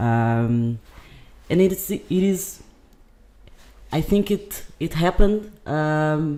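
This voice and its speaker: In a Portuguese accent, the speech moves at a very slow pace with long, frequent pauses. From Brazil, raised partly in Portugal. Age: 20s. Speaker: podcast guest. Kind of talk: casual chat. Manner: halting.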